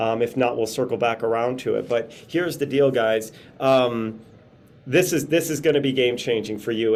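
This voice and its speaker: A man with an American accent talks at a fairly quick pace. His medium pitch shows ordinary variation. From Chicago. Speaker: motivational business speaker. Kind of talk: webinar presentation. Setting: video call, outdoors. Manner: fast; animated.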